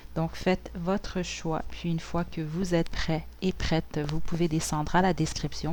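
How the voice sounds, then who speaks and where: A woman talks at a fairly slow pace in a relaxed tone. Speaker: tarot reader. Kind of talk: tarot reading. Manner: hesitant, many fillers.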